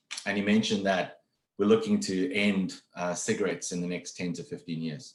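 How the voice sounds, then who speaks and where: Fairly quick speech from a man with a fairly low pitch. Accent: strong South African. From South Africa. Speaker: HR executive. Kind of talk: webinar interview. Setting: video call. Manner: fast.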